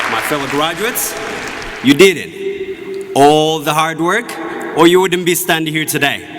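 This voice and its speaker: With crowd noise in the background, a man speaks at a fairly slow pace. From Ethiopia, Oromia. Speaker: graduating student speaker. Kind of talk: commencement speech. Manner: formal.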